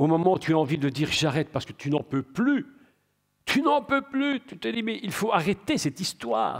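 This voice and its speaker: The recording is very clean, with a silent background. A man speaks with very wide pitch swings. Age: 60s. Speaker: preacher. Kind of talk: sermon.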